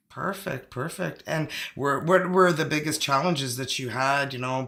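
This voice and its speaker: A man talks at a moderate pace with a French-Canadian accent. His fairly high voice has a bright, sharp tone and ordinary pitch variation. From Northern Ontario, Canada. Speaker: tarot channel host. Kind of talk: live interview. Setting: live video stream.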